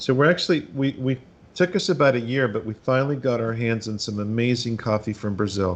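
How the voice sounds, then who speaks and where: Ordinary pitch variation runs through a man's fairly quick speech. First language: Spanish. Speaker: cigar maker. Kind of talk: interview. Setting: video call. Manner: halting.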